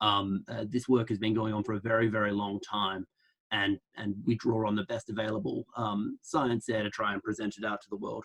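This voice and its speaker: A man speaks with an Australian accent at a fairly quick pace and with fairly even intonation. The sound is dry and close, with no echo. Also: fairly low pitch for a man. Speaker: public health researcher. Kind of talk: online lecture. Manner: fast, with many fillers and restarts.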